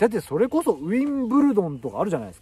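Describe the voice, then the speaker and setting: A man with a dark, mellow tone, very wide pitch swings and a very fast pace, in dry sound with no echo. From Japan. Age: 40s. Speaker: YouTuber; vlogger. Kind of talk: casual vlog monologue. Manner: casual, filler-heavy. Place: forest. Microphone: phone near.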